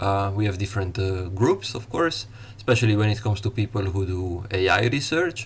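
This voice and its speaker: Somewhat breathy, a man speaks at a fairly quick pace with an Italian accent. His pitch varies in an ordinary way. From Italy. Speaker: university lecturer. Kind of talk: lecture. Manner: halting, many fillers.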